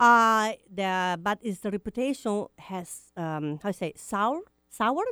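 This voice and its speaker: In a very clean recording with a silent background and a dry, close sound with no echo, a woman of medium pitch with an Italian accent speaks fairly slowly in a bright, sharp tone with lively intonation. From Italy. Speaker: radio co-host. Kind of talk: casual chat. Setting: studio.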